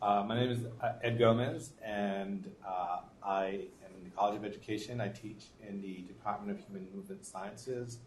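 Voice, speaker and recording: Somewhat breathy, a man with a slight Boston accent talks at a fairly low pitch with fairly even intonation and big swings in loudness, with audible room echo. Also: moderate pace. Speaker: professor. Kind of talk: panel introduction. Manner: halting.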